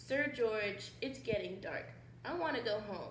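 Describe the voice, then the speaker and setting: In a put-on character voice, a woman speaks at a fairly slow pace and a fairly high pitch, with a slight echo around her. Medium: read story.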